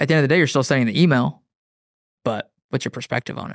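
A man speaks with ordinary pitch variation in a dry, close sound with no echo, on a very clean recording with a silent background. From Wyoming. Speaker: runner and content creator. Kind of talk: casual interview conversation.

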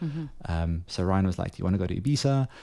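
Speaking fairly quickly with a South African accent, a man has a fairly low pitch and a dark, mellow tone. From South Africa, Johannesburg. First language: Afrikaans. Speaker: photographer. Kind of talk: casual chat.

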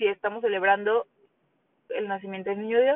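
A woman talks with lively intonation. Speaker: podcast host. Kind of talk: solo monologue. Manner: conversational, many fillers.

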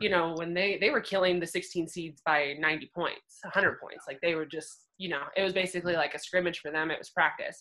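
A woman's fairly low, bright and sharp voice at a moderate pace, fairly even in intonation, with big swings in loudness and hardly any pauses. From Central Oregon, US. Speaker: former college basketball player. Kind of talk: interview. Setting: video call.

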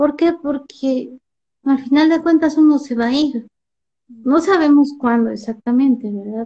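Here a woman has a high-pitched yet dark, mellow tone. She speaks at a fairly slow pace. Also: ordinary pitch variation. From Mexico City. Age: 40s. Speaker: poet and painter. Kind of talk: interview.

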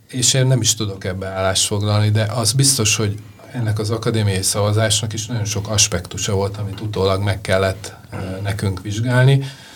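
A man with a fairly low pitch talks at a fairly quick pace in a monotone, flat manner, with noticeable background noise behind him. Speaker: jury member, film funding director. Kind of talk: interview conversation.

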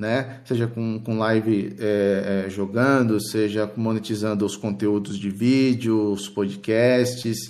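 His intonation is fairly even. The man's pace is very slow. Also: fairly low pitch for a man. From Sao Paulo state, Brazil. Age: 40s. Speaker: Xbox fan site founder and podcaster. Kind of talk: casual chat.

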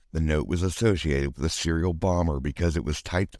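In a very clean recording with a silent background, a man speaks at a very deep, low pitch with ordinary pitch variation. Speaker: podcast host. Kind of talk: true-crime narration. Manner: matter-of-fact, measured news-style delivery with a casual, sarcastic aside.

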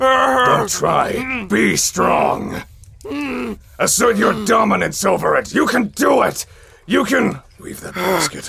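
A man uses a put-on character voice, pitched high. He talks at a fairly slow pace. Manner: gruff, glum, then rousing.

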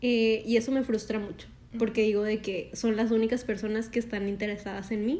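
A woman's voice has a dark, mellow tone and a fairly high pitch. She speaks at a fairly quick pace with fairly even intonation. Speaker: podcast co-host. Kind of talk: casual chat.

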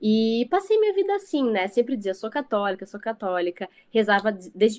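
A woman speaking at a moderate pace, her pitch fairly high. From Rio Grande do Sul, Brazil (countryside). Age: 20s. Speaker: guest, former graphic designer. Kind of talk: testimony.

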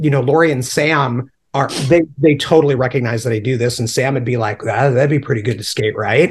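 This man sounds somewhat breathy, with lively intonation and an American accent. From upstate New York. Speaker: punk rock artist and illustrator. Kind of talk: casual chat.

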